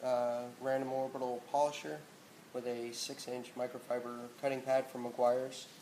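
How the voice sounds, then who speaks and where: There's noticeable background noise and audible room echo. Through it, a man speaks at a moderate pace and medium pitch. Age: 30s. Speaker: car detailing hobbyist. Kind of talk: tutorial. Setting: home garage. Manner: casual, hesitant with fillers.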